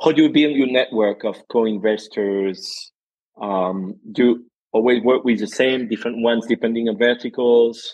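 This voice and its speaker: In a plain, everyday voice, a man talks at a moderate pace with fairly even intonation. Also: medium pitch for a man. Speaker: podcast host. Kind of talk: interview conversation.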